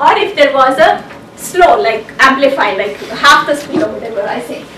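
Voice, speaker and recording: With noticeable background noise and audible room echo, a woman projects a raised, high-pitched voice at a moderate pace, her intonation lively and her loudness swinging widely. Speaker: technology speaker and author. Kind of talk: conference talk.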